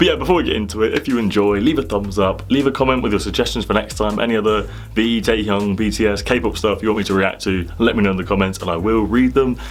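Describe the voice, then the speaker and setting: The speech comes at a very fast pace. Music plays in the background, and there is audible room echo. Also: man, hardly any pauses. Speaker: YouTube reactor. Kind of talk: reaction video commentary.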